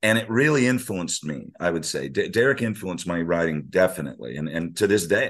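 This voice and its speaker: With an American accent and vocal fry, the voice moves at a fairly quick pace with hardly any pauses and very wide pitch swings. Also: man, very deep, low pitch for a man. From US Navy family, raised partly abroad and in California. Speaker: surf journalist and author. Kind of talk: casual interview conversation.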